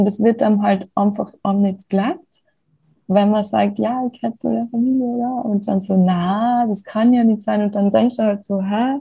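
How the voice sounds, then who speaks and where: At a fairly slow pace, a woman speaks in a somewhat breathy, dark, mellow tone, her pitch fairly high with ordinary variation. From Tyrol, Austria. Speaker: rapper and actress. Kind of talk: interview.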